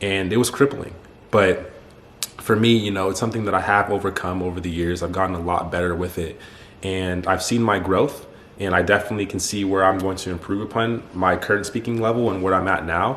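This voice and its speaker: Over noticeable background noise and audible room echo, a man with a very deep, low pitch talks at a fairly quick pace with fairly even intonation. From United States. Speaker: YouTuber, athlete and self-improvement coach. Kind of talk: personal story monologue to camera. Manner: fast; casual, informal.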